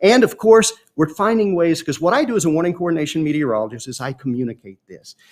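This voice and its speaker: A man speaks very fast with a Mississippi accent and a high pitch. His pitch swings very widely and his loudness swings a lot. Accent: Southern US (Mississippi). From Mississippi, US South. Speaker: meteorologist. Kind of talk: educational talk. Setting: live-streamed science expo.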